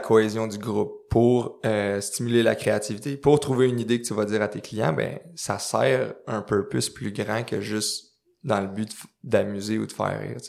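A man with a medium pitch talks at a moderate pace, his intonation fairly even. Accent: Quebec. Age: 20s. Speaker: clothing company co-founder and CEO. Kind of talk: interview conversation. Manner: halting with many repetitions.

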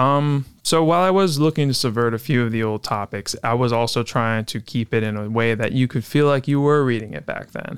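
Speaking at a fairly quick pace with hardly any pauses, a man with a plain, everyday voice and medium pitch shows ordinary pitch variation on a very clean recording with a silent background. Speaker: podcast host, writer.

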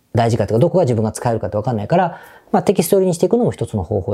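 A somewhat breathy man at medium pitch, with a dark, mellow tone and very wide pitch swings. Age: 50s. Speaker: business podcast host. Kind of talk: solo podcast monologue. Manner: casual conversational.

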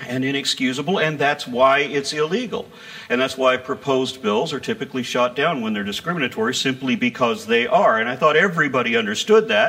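Over noticeable background noise, the speech runs at a very fast pace with very wide pitch swings and hardly any pauses. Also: man. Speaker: atheist activist and speaker. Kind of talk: stand-up comedy. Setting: stage with audience. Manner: animated, irreverent, sarcastic; punchy joke delivery with pauses for audience laughter.

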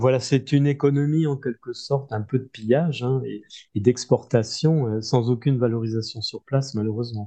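Dark, mellow male voice with fairly even intonation, a moderate pace and a quiet background. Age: 60s. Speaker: agronomist and author. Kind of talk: interview. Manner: halting, many repetitions.

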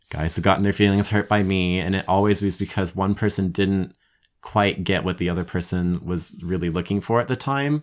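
With an American accent, a man speaks at a fairly quick pace with a very deep, low pitch on a very clean recording with a silent background. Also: ordinary pitch variation. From Colorado. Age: 20s. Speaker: podcast guest. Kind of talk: casual chat.

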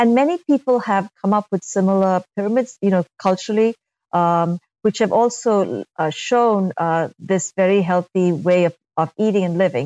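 A woman speaks in a dark, mellow tone at a moderate pace, with ordinary pitch variation and very even loudness. The sound is dry and close with no echo, and the background is quiet. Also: medium pitch for a woman. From India. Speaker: pediatric doctor. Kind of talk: interview.

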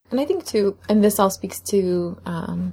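A woman with an unremarkable speaking voice talks at a medium pitch and a moderate pace. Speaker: guest contributor. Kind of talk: casual chat.

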